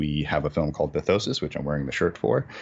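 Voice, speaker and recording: At a very fast pace, a man talks with an American accent. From Massachusetts, New England. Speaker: film director and producer. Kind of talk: interview. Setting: video call. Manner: mumbling.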